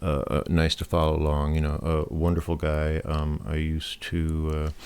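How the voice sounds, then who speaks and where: Mumbling in a very deep, low voice, a man talks at a moderate pace with monotone, flat intonation. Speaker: programming YouTuber. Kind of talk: casual talk to camera. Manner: hesitant, many fillers.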